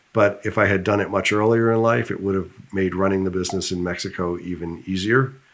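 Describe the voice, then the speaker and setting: A man speaks in a normal speaking voice, fairly low-pitched, at a moderate pace with fairly even intonation. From United States. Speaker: business founder. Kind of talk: interview.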